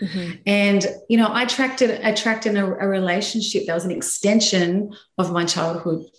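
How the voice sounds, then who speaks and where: A woman in an Australian accent talks at a fairly quick pace and medium pitch, somewhat breathy, with fairly even intonation and audible room echo. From Sydney, Australia. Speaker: graphic designer sharing faith story. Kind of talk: personal testimony in interview.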